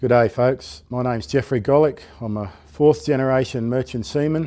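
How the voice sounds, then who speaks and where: In an Australian accent, a man speaks at a medium pitch with a dark, mellow tone and ordinary pitch variation, on a very clean recording with a silent background. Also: moderate pace. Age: 60s. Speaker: unemployed seafarer. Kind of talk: testimony.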